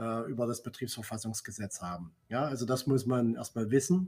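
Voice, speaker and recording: A man talks at a fairly quick pace in a somewhat breathy, medium-pitched voice. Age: 50s. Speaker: works council chair and trade unionist. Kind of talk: casual chat.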